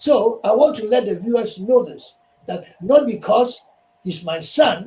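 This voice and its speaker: Here a man speaks at a high pitch, with lively intonation and a dark, mellow tone. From Ghana. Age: 70s. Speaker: inventor. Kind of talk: talk show interview. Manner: forceful, emphatic.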